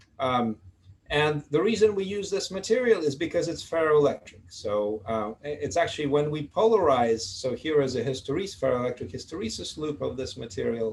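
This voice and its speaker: A man's somewhat breathy voice sits at a fairly high pitch. His pitch swings very widely. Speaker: physics professor. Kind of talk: lecture. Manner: fast; halting, many fillers.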